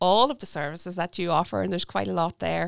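The voice has vocal fry and lively intonation. The recording is very clean, with a silent background. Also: woman. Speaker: podcast host. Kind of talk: interview.

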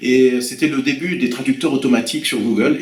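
Noticeable background noise surrounds a man whose medium-pitched voice shows ordinary pitch variation. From France, Loir-et-Cher (Blois). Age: 50s. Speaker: French language teacher. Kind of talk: interview. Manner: hesitant, with fillers and repetitions.

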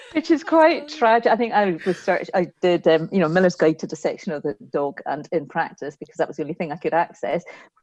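A woman with a Scottish accent and a fairly low pitch, very fast with hardly any pauses, lively in intonation, big swings in loudness, a dry, close sound with no echo. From west of Scotland. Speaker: veterinary lecturer. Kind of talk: casual interview.

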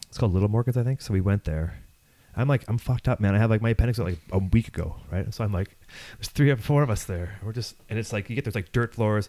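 A man with a Canadian accent, fairly low in pitch, dark and mellow in tone, ordinary pitch variation, very fast pace. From Ontario farmland. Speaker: podcast host. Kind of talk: casual chat. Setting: home recording studio.

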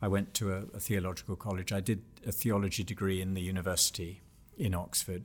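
Speaking at a fairly quick pace in a monotone, flat way, a man with a very deep, low pitch sounds somewhat breathy on a very clean recording with a silent background. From England. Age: 60s. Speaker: author and Bible teacher. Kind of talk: interview.

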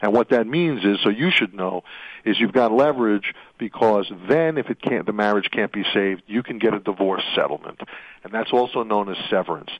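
A man with an American accent talks at a fairly quick pace. His pitch is fairly low, with ordinary variation. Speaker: radio host. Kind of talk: talk radio monologue about workplace law. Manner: rambling, opinionated, halting with fillers.

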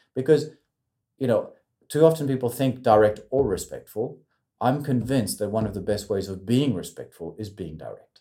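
Somewhat breathy and dark, mellow in tone, a man's medium-pitched voice moves at a moderate pace with ordinary pitch variation and big swings in loudness. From French, raised in New Zealand, South Korea, Morocco, Australia. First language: French. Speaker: communication consultant. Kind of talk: casual interview. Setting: studio in Sydney. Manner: halting, many repeats.

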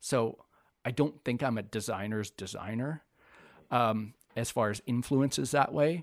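Speaking at a fairly slow pace with long, frequent pauses, a man with a Canadian Prairies accent holds a medium pitch and ordinary pitch variation. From northern Manitoba, Canada. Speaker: graphic designer. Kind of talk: casual interview.

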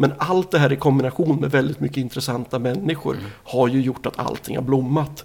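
With hardly any pauses, a medium-pitched man talks at a fairly quick pace, showing vocal fry and ordinary pitch variation. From Sweden, Nyköping. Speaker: record label owner. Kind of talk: interview. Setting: in person, Norrköping.

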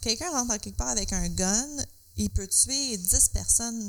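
A woman with a Quebec accent speaks at a moderate pace over noticeable background noise. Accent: Québécois French. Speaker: podcast co-host. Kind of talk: casual chat.

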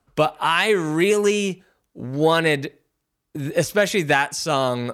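With an American accent, a man speaks in a plain, everyday voice at a fairly high pitch, his intonation lively. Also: very clean recording, silent background. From Philadelphia area, US. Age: 40s. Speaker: music producer. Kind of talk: casual interview.

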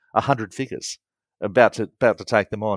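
A man with an Australian accent talks at a very fast pace and a fairly low pitch, recorded very cleanly with a silent background and a dry, close sound with no echo. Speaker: wargamer and rules publisher. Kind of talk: casual interview chat. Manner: animated.

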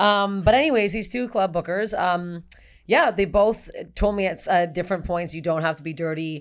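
On a very clean recording with a silent background, an ordinary speaking voice moves at a moderate pace with ordinary pitch variation. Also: woman, medium pitch for a woman. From Canada. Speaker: stand-up comedian. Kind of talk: casual chat.

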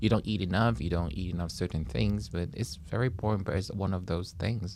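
A man's voice with vocal fry and a Taiwanese accent. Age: 40s. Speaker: comedian. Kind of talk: casual chat. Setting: studio.

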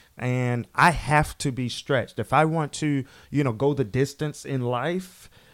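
A fairly high-pitched man speaks slowly-ish, at a fairly slow pace, in a normal speaking voice with fairly even intonation. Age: 30s. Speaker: motivational speaker. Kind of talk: casual interview.

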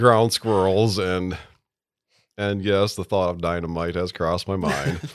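In an American accent, a man with a very deep, low voice talks with fairly even intonation. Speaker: golf course superintendent. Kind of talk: casual interview. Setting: studio.

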